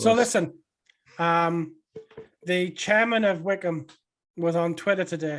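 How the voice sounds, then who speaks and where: At a fairly slow pace with long, frequent pauses, a man speaks at a high pitch with fairly even intonation. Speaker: podcast host. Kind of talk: casual podcast conversation.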